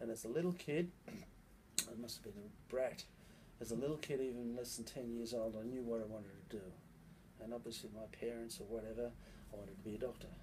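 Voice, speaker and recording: Against noticeable background noise, a man speaks at a fairly quick pace with a dark, mellow, somewhat breathy tone and ordinary pitch variation. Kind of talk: interview answer. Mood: relaxed, humorous. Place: office. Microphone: phone near.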